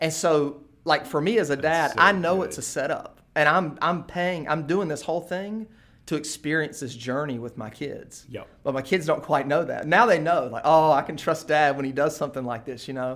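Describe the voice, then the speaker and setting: A man's ordinary speaking voice with an American accent, fairly high in pitch with ordinary pitch variation, at a moderate pace in a very clean recording with a silent background. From eastern North Carolina, US South. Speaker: pastor. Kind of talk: casual interview.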